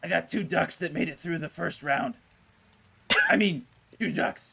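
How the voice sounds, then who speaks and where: A man puts on a raspy, high-pitched character voice and talks at a moderate pace. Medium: actual play. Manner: casual, slangy haggling.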